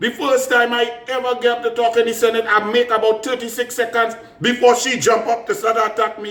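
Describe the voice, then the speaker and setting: Loud and high-pitched, a man speaks with a Trinidadian accent. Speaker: politician. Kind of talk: political commentary.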